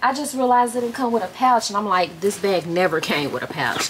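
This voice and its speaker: In a Southern US accent, the voice makes very wide pitch swings over noticeable background noise. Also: woman. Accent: Southern US, country. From Mississippi. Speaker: vlogger. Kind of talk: casual vlog chat. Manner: animated; feisty. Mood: earnest, pleading. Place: home room. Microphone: phone near.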